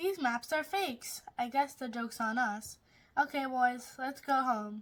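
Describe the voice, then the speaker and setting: A woman uses a put-on character voice, pitched high. She moves at a moderate pace. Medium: read story.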